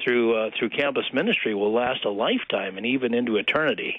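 A man speaks very fast, with ordinary pitch variation. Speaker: pastor. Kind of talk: radio interview. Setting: phone call.

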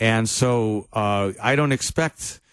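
A man with a fairly low pitch and a normal speaking voice uses lively intonation. The background is quiet. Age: 60s. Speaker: pastor. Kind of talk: casual chat.

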